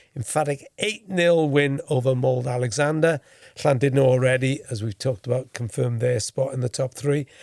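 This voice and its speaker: With a Welsh accent, a man talks at a moderate pace. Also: medium pitch for a man, ordinary pitch variation, dry, close sound with no echo. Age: 60s. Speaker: former football correspondent, podcast host. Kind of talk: casual podcast chat.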